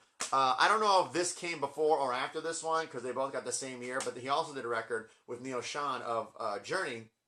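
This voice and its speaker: With an American accent, a man speaks in a fairly high pitch and a bright, sharp tone. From US Midwest, St. Louis, Missouri. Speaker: music collector vlogger. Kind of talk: casual monologue review. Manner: fast; animated.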